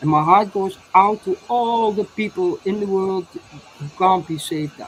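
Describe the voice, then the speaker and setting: With a Dutch accent and a medium pitch, a woman speaks fairly slowly with ordinary pitch variation and big swings in loudness over noticeable background noise. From Netherlands. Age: 60s. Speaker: inventor and alternative healer. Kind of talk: interview testimony. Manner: halting, many repetitions.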